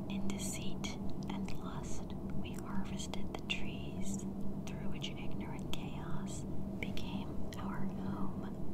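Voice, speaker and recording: Whispering at a very slow pace, someone speaks over noticeable background noise. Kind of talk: whispered reading of an ancient religious text. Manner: whispered, soft.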